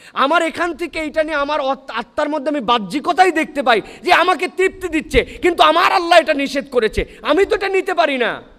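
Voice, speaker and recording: A man with an extremely high pitch and ordinary pitch variation. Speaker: Islamic preacher. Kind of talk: Islamic sermon (waz) to a live audience. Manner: engaged, rhetorical questions to the audience, lively.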